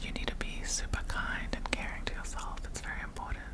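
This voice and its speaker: The voice is whispering at a moderate pace. Noticeable background noise is present. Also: woman. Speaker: ASMR content creator; university student. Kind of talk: whispered ASMR Q&A ramble.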